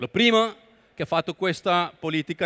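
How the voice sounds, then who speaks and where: A man speaks with a Spanish accent at a high pitch. His pace is moderate, and the background is quiet. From Colombia. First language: Spanish (speaking Italian). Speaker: entrepreneur and international speaker; guest. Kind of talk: lecture. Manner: halting. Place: hall. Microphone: headset.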